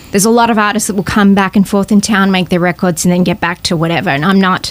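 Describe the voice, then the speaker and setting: Over noticeable background noise, a woman with a medium pitch speaks at a very fast pace. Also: very even loudness. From Australia. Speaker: singer-songwriter. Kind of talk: podcast interview, casual chat. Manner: animated.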